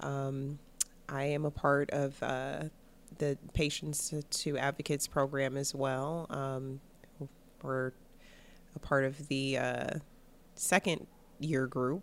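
A woman with a Midwestern US accent, very deep and low in pitch, monotone and flat, at a very slow pace with long, frequent pauses. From Cleveland, Ohio. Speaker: abortion rights fellow. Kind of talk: casual interview chat.

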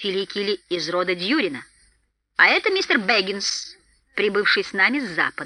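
In a put-on character voice, the speaker moves at a fairly quick pace with big pitch swings. The tone is bright and sharp.

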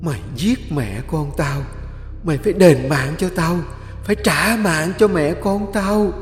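A man's put-on character voice, high-pitched and fairly slow, with clear echo and clear background noise. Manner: menacing, accusing.

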